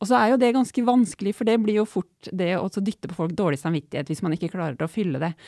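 This woman's voice sits at medium pitch with a dark, mellow tone and lively intonation. It comes through a very clean recording with a silent background and a dry, close sound with no echo. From Norway, Otta in Gudbrandsdalen. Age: 40s. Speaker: doctor and public debater. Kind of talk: casual chat.

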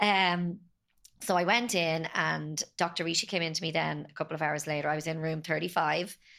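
Speaking at a moderate pace with an Irish accent, a woman has a fairly low pitch and a bright, sharp tone in a very clean recording with a silent background. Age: 40s. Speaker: podcast guest, bereaved mother. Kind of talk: personal testimony.

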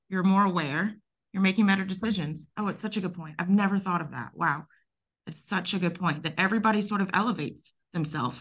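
A woman with a Southern US accent talks at a very fast pace. Her pitch is medium, with ordinary pitch variation. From US South. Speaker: podcast host, architect. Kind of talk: interview.

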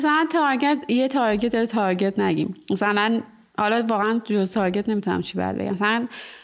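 Using a plain, everyday voice, a woman with a fairly high pitch talks at a moderate pace with very even loudness. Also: ordinary pitch variation. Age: 30s. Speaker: ceramic artist and studio owner. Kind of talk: casual interview.

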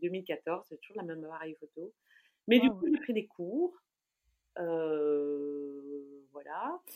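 A woman with a fairly low pitch and ordinary pitch variation speaks at a very slow pace, with big swings in loudness and long, frequent pauses. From Belgium, Brussels. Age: 40s. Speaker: food blogger. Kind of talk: casual interview chat.

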